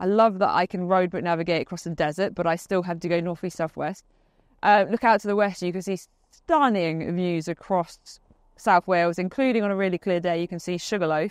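A woman speaks at a fairly quick pace with fairly even intonation, her voice dry with no echo against a quiet background. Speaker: presenter. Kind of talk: casual vlog chat. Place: open country.

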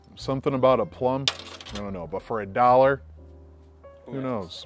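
The voice has ordinary pitch variation and a moderate pace. The sound is dry with no echo, and faint music plays in the background. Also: man. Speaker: beer reviewer. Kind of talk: casual vlog chat. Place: garden. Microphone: lapel.

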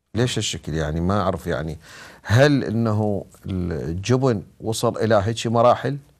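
Against a quiet background, the voice moves at a fairly slow pace with lively intonation. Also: man, fairly low pitch for a man. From Iraq. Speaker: TV show co-host. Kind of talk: religious-political talk show. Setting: studio. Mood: puzzled, questioning. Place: studio.

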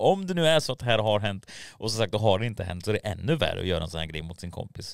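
Very fast and lively in intonation, a man's fairly low voice comes through a dry sound with no echo. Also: quiet background. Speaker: YouTube commentary creator. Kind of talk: casual commentary video. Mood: mocking, incredulous. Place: studio. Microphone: studio mic.

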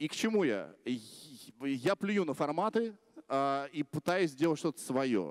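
Using lively intonation, a man speaks at a very slow pace with long, frequent pauses. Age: 30s. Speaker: blogger; blogger giving a festival talk. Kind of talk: conference talk. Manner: casual. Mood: relaxed, humorous, confident. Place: stage. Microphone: handheld.

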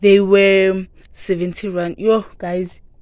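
A woman with a South African accent speaks very slowly in a monotone, with a dry sound with no echo and a quiet background. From Mpumalanga, South Africa. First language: Zulu. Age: young. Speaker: vlogger. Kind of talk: casual talk to camera. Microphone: phone near.

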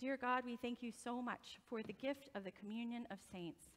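A woman's fairly high voice at a moderate pace with ordinary pitch variation. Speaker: pastor. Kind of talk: children's sermon, warm talk to kids. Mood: gentle, comforting. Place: church.

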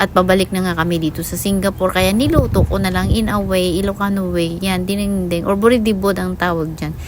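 A woman speaks at a fairly quick pace over noticeable background noise. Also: hardly any pauses. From Philippines, La Union (Ilocos). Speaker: vlogger. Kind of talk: casual voice-over narration. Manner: halting, stammering at times.

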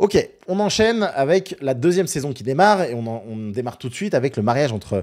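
Dark and mellow in tone, a man's voice makes very wide pitch swings. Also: quiet background. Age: 30s. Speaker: pop culture YouTuber and streamer; pop culture YouTuber, streamer. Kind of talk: live stream recap. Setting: live stream. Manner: hesitant, many fillers. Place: home room. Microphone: studio mic.

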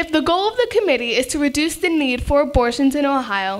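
The speech goes at a moderate pace over a quiet background. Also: woman. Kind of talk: prepared speech. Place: meeting room. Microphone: podium.

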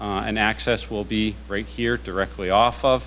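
Over light background noise, a man with a fairly low pitch speaks in an ordinary speaking voice. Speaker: presenter. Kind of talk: formal presentation. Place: meeting room.

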